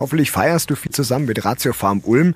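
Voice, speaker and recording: Noticeable background noise behind a man's medium-pitched voice, fairly quick and with lively intonation. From Middle Franconia, Germany (Ansbach). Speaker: radio host. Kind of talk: casual interview.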